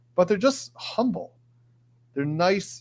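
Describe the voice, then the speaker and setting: This man has an American accent and lively intonation. The recording is very clean, with a silent background. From Michigan, Detroit area. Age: 40s. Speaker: trial lawyer and legal commentator streamer. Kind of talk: live stream chat reading. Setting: live stream. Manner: fast.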